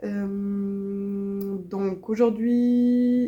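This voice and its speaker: This woman has a dark, mellow tone and a Swiss accent. Her intonation is fairly even. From Switzerland. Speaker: crochet vlogger. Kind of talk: casual vlog chat. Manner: hesitant, many fillers.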